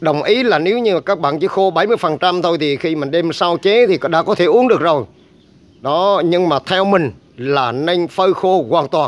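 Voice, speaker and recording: A man with a high voice talks fairly slowly, his pitch moving in an ordinary way. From Vietnam. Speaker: herbal medicine channel host. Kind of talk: tutorial. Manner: filler-heavy casual delivery. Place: garden. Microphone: phone near.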